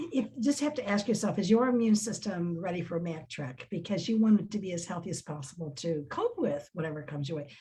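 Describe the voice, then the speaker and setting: Noticeable background noise sits behind a woman talking at a very fast pace. Her pitch is fairly low and her intonation lively. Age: 70s. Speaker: success team member on a business network panel. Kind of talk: casual chat.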